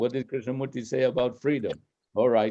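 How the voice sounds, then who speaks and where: At a moderate pace, a man speaks with a dark, mellow tone and a medium pitch. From Spain. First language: Spanish. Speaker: speaker on philosophy. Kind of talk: talk with Q&A dialogue.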